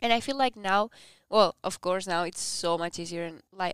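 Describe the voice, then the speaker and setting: Moderately paced woman's voice at medium pitch with ordinary pitch variation and a Spanish accent, dry and close with no echo, in a very clean recording with a silent background. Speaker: exchange student, podcast co-host. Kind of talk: casual chat.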